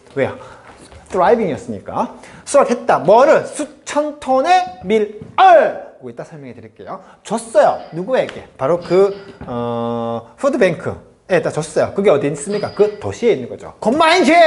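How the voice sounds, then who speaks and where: An animated man's voice with big swings in loudness and noticeable background noise. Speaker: English teacher. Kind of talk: lecture. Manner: fast.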